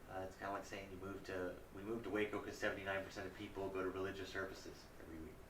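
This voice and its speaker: With noticeable background noise and audible room echo, a man speaks very fast in a very deep, low pitch with monotone, flat intonation. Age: 40s. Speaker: congressional candidate and military veteran. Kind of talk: interview.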